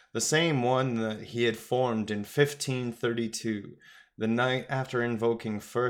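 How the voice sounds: In a natural reading voice, the intonation stays fairly even.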